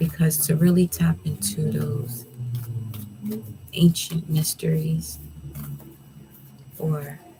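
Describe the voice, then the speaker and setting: Music plays in the background as the speaker moves at a very slow pace. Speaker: tarot reader. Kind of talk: tarot reading. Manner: soft-spoken; relaxed.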